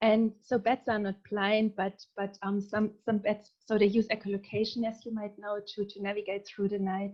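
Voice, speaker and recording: With a German accent, a woman speaks at a moderate pace and medium pitch, her intonation monotone and flat, with hardly any pauses. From southern Germany. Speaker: researcher. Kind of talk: presentation.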